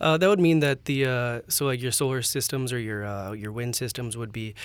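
Here a man with a Canadian accent talks at a very fast pace, at medium pitch with ordinary pitch variation. The recording is very clean, with a silent background. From Alberta, Canada. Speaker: energy startup co-owner. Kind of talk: interview.

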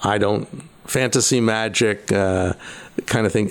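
A man talks in an American accent, his medium pitch held to fairly even intonation. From New York, US. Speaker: magician and retired lawyer. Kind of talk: casual interview. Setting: at his home.

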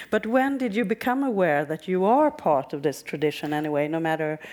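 A woman speaks at a moderate pace with a fairly low pitch. Her pitch swings very widely. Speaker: radio journalist and interviewer. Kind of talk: on-stage interview.

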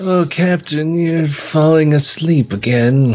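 The speaker uses a put-on character voice with a weary tone at middle pitch. The pace is fairly slow. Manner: mopey and weary, sleepy.

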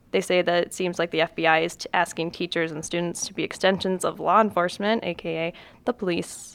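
A woman with an unremarkable speaking voice, medium pitch and moderate pace. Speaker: podcast co-host. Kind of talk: casual podcast chat.

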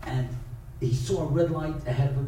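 Speaking with an American accent, a man holds a moderate pace and fairly even intonation at fairly high pitch. Noticeable background noise runs underneath. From Brooklyn, New York. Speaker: rabbi and speaker. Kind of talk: inspirational lecture with stories. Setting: synagogue audience.

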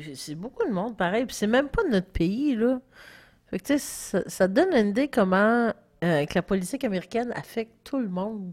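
A woman with an ordinary speaking voice talks at a moderate pace, pitched fairly high. Her intonation is lively. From Quebec, Gaspésie. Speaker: podcast co-host. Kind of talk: casual chat.

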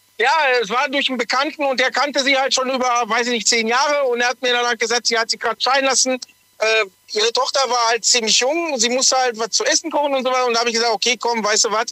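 An extremely high-pitched man's raised, projected voice at a very fast pace, with fairly even intonation, very even loudness, and a dry, close sound with no echo. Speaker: truck driver. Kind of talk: radio call-in.

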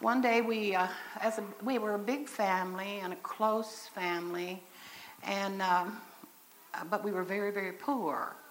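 At a fairly slow pace, a woman speaks in a medium pitch with fairly even intonation and long, frequent pauses. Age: 60s. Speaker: mother and speaker at church convention. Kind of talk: sermon-style talk. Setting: church stage with audience, in wheelchair. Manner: conversational, folksy.

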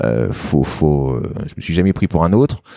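The tone is dark and mellow. It sounds dry and close, with no echo. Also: man. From France, Lyon. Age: 30s. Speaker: local politician. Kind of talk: interview. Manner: halting.

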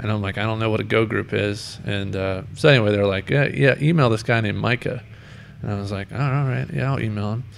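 A man with a normal speaking voice talks at a fairly quick pace, his fairly low pitch showing ordinary variation. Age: 30s. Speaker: podcast host. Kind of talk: casual chat.

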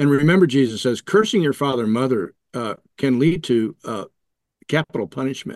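Recorded dry and close with no echo over a quiet background, a man uses an ordinary speaking voice at medium pitch with lively intonation. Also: fairly quick pace. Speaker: podcast panelist. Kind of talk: theological discussion.

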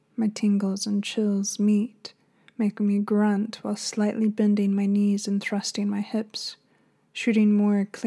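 What we hear is plain reading aloud.

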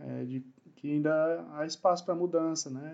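The pace is fairly slow. The speaker is a man. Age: 40s. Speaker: production engineer. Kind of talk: casual chat. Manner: halting.

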